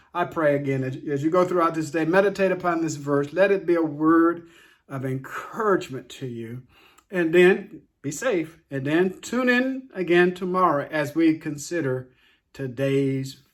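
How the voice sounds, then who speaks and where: At a fairly slow pace, a man with an ordinary speaking voice talks with a fairly high pitch and ordinary pitch variation. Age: 60s. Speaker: daily Bible devotional host. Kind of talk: devotional talk.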